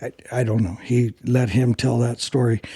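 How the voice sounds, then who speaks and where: Here a man talks at a fairly slow pace. His tone is dark and mellow. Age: 70s. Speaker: drag racer and transmission builder. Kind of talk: casual chat.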